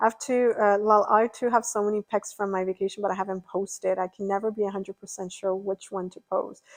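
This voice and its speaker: A woman with an unremarkable speaking voice talks at a fairly quick pace and medium pitch, the sound dry and close with no echo. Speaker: streamer. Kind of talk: live stream chat.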